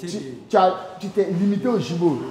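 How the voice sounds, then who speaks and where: At a moderate pace, a man speaks in a high voice. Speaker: theatre director giving rehearsal feedback. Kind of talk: casual rehearsal feedback.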